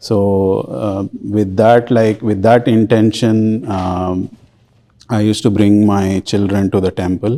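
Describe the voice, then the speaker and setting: With a Telugu accent, a man speaks very slowly at a fairly low pitch, his tone dark and mellow and his intonation monotone and flat. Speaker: volunteer Sanskrit and scripture teacher. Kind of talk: interview. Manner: halting, many fillers.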